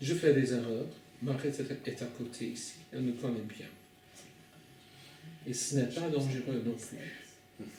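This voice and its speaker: A man with a non-native accent, medium pitch and ordinary pitch variation, at a very slow pace with long, frequent pauses, plus noticeable background noise and audible room echo. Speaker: preacher. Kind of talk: sermon. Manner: halting.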